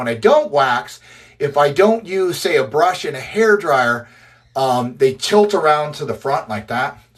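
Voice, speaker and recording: A man with an Upper Midwest accent speaks at a moderate pace. His pitch is fairly high and his intonation lively. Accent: Upper Midwest American (Michigan). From Michigan, US (Port Huron / thumb region). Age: 40s. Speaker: mustache competitor and grooming livestreamer. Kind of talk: casual livestream tutorial. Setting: social media live stream.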